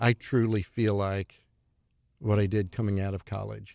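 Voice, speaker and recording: In a very clean recording with a silent background, a man with a Midwestern American accent speaks at a moderate pace in a fairly low pitch with monotone, flat intonation. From US Midwest, Cape Girardeau, Missouri. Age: 60s. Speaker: retired Wall Street housing analyst. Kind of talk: podcast interview.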